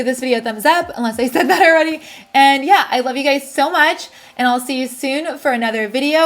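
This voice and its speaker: A woman with a high pitch talks at a fairly quick pace with ordinary pitch variation. Background noise is noticeable. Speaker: beauty YouTuber. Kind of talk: unboxing haul video. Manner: fast; animated.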